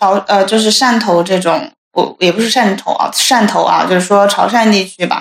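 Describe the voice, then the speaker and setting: In a plain, everyday voice, a woman talks with ordinary pitch variation. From Hunan. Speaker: office worker. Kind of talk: casual chat.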